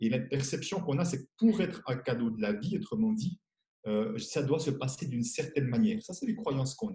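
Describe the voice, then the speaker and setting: Speaking at a fairly quick pace, a man with a fairly high pitch and a dark, mellow, somewhat breathy tone makes very wide pitch swings. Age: 60s. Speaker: money coach and author. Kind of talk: interview.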